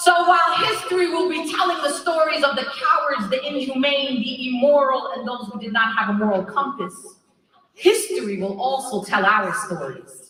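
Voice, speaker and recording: A woman with an American accent speaks in a raised, projected voice, her high pitch making very wide swings as she talks at a moderate pace in an animated tone. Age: 40s. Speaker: activist. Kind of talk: rally speech.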